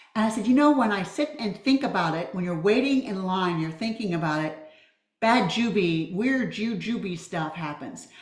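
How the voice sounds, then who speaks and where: At a moderate pace, a woman speaks with a medium pitch and very wide pitch swings. Audible room echo surrounds her voice. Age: 70s. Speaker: public speaking student. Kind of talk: group video call reflection.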